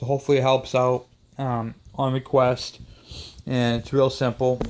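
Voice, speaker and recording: A man's voice at a medium pitch. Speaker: motorcycle repair tutorial maker. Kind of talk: tutorial. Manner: casual, with many fillers.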